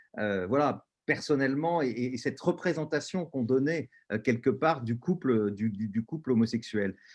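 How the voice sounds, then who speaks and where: A man's medium-pitched voice with lively intonation at a moderate pace, over a quiet background. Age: 60s. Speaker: panelist and LGBT activist. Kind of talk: webinar panel talk. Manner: halting, many hesitations.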